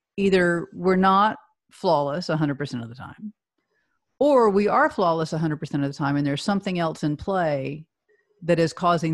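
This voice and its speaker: In a very clean recording with a silent background, a woman with a normal speaking voice talks fairly quickly at a fairly low pitch. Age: 50s. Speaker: healthcare executive and leadership advisor. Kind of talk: interview.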